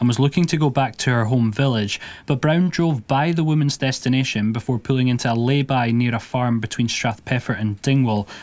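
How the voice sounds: At a fairly quick pace, a man speaks with a medium pitch.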